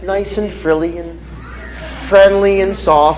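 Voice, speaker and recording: A man speaks with an American accent. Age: 30s. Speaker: faith speaker, former drug dealer. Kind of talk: Q&A after a testimony talk. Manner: casual, animated.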